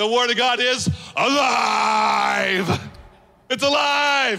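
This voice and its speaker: A man does a put-on character voice. It is extremely high-pitched and very slow. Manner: excited, exclaiming triumphantly.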